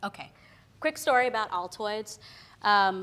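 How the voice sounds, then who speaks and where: A woman talks with ordinary pitch variation. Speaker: creative professional giving career talk. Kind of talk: talk to an audience. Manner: loud; casual, many fillers.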